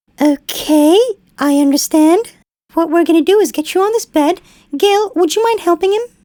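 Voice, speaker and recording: A woman puts on a squeaky character voice at an extremely high pitch, moving at a moderate pace in a dry, close sound with no echo. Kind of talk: clinical bedside speech. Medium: puppet show. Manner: calm, polite, patient.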